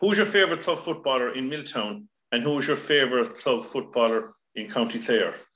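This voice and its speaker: A man talks at a fairly quick pace with a fairly high pitch. His voice moves in very wide pitch swings. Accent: Irish. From Ireland. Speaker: podcast host. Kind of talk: casual interview. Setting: video call. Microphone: video call.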